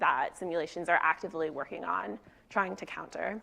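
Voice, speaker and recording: A woman's bright, sharp tone with vocal fry. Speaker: researcher presenting a talk. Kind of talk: conference talk.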